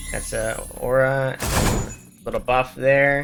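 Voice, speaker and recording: The tone is relaxed and the pace fairly slow. Noticeable background noise runs under the speech. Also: man. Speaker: gaming guide creator. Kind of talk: game tutorial voiceover. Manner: casual, relaxed.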